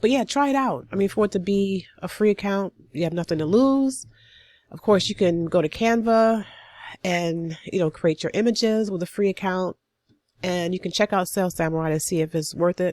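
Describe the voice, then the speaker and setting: Recorded very cleanly against a silent background, a woman talks at a moderate pace with ordinary pitch variation. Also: medium pitch for a woman. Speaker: online business tutorial creator. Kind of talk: screen-share tutorial. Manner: casual, with filler words.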